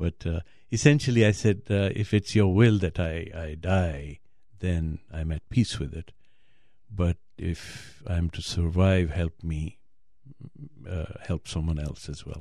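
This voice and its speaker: In a very clean recording with a silent background, a man with a very deep, low pitch talks at a fairly slow pace in a dark, mellow tone, using ordinary pitch variation. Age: 60s. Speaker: heart transplant patient and blogger. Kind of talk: interview. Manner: halting.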